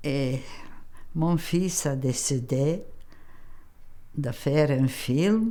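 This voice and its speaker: In a Macedonian accent, a woman talks with a very deep, low pitch and a dark, mellow tone, with audible room echo around her. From North Macedonia, Strumica. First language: Macedonian (speaking French). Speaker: immigrant elder telling her life story. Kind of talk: documentary interview, life story. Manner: halting.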